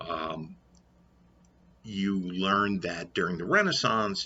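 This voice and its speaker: A man speaks with a New York accent in a very deep, low voice at a very slow pace. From New York, Brooklyn. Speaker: history teacher vlogger. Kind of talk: lecture. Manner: halting with many fillers.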